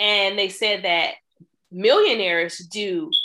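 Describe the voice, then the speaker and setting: Her bright, sharp tone at a medium pitch, a woman with an American accent speaks at a very slow pace. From US Midwest, Chicago. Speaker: trucking business accountant and coach. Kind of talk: podcast interview.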